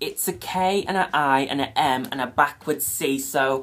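A woman speaks, and the pitch of her voice moves up and down in an ordinary way. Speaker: toy review vlogger. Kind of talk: casual vlog chat. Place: home room. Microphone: phone near.

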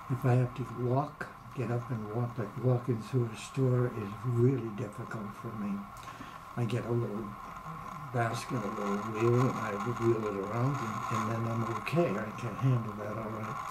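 Amid loud background noise, a man with a medium pitch talks at a moderate pace in a monotone, flat intonation. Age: 80s+. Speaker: patient giving testimonial. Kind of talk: interview answer.

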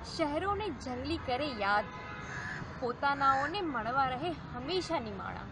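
A woman speaks in a high voice over clear background music, the sound dry with no echo. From Junagadh district, Gujarat, India; Gujarat, India. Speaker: actress. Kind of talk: poetry reading. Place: street.

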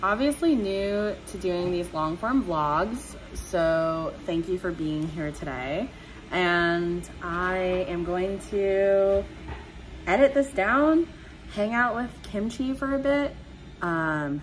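The voice moves at a very slow pace with very wide pitch swings over light background noise. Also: woman. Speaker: vlogger. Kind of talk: casual vlog chat. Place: home room. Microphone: phone near.

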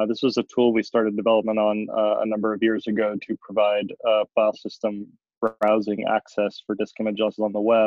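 A man speaks at a fairly quick pace. His fairly low voice stays monotone and flat. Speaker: software developer presenting project tools. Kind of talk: software demo webinar. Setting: video call webinar with screen share. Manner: halting, frequent word repetitions.

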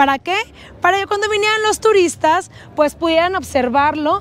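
A woman's extremely high voice at a moderate pace, with ordinary pitch variation and a dry sound with no echo. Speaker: travel vlogger. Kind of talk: casual travel vlog presentation. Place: street. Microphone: lapel.

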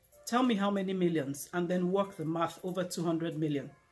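Faint music plays behind a woman whose fairly low voice moves at a moderate pace with fairly even intonation. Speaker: speaker. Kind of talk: inspirational talk to camera. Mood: earnest, warm encouragement. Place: home room. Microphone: lapel.

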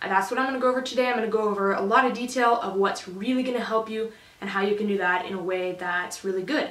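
A woman's voice with audible room echo. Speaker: livestock showing instructor. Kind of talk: tutorial. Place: home room.

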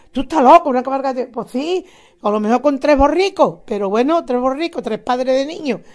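Lively intonation and a fairly quick pace in a woman's high voice. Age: 80s+. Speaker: retired teacher, nativity scene association president. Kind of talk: interview. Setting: at home.

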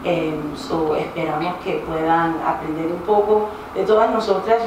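A woman at a fairly quick pace, fairly low in pitch with fairly even intonation, amid audible room echo and noticeable background noise. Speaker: panel facilitator. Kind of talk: event introduction speech. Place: hall.

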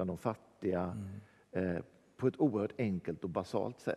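A man's fairly low voice, dark and mellow in tone, with lively intonation. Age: 60s. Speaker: church worker; guest. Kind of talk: casual chat. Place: church.

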